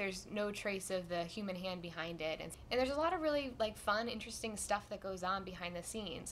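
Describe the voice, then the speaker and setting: A woman talks at a fairly quick pace in an unremarkable speaking voice. Her pitch sits in the medium range. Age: 20s. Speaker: science host applicant, biologist. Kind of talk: audition talk to camera.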